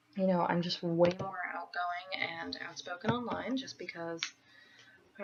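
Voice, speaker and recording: A woman at a fairly quick pace with a fairly low pitch, over noticeable background noise. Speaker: student. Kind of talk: class video assignment answering questions. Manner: hesitant, many fillers.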